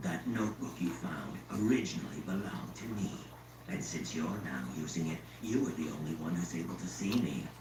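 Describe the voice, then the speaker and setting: A put-on character voice races along at a fairly quick pace, with a slight echo and loud background noise. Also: man, very deep, low pitch for a man. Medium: game stream. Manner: sardonic, lazily amused.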